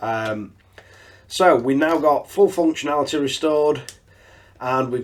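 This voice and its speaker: With a northern English accent, a man speaks at a moderate pace. His pitch is fairly high, with ordinary variation. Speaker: RC hobby YouTuber. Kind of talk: tutorial. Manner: casual.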